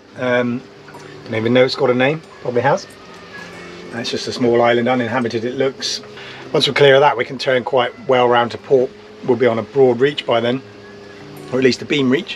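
A man's fairly quick, fairly even-toned speech over background music. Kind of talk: casual vlog chat. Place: boat. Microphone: camera far.

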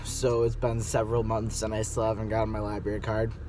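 A man speaks with music in the background. The sound is dry, with no echo. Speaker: vlogger. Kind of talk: casual vlog chat. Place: car. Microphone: phone near.

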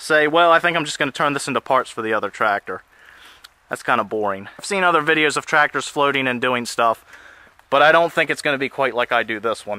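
A man talks at a fairly quick pace in a bright, sharp tone, with a dry sound that has no echo. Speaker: tractor hobbyist. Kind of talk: casual vlog chat. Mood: enthusiastic, planning. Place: forest. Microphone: phone near.

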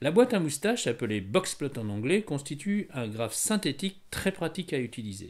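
In a very clean recording with a silent background, a man with a Parisian accent speaks at a moderate pace with very wide pitch swings. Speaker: statistics teacher. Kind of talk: educational tutorial narration.

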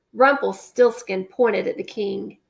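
A woman speaks at medium pitch with a slightly husky edge and vocal fry. Her pace is fairly slow and her pitch varies in an ordinary way.

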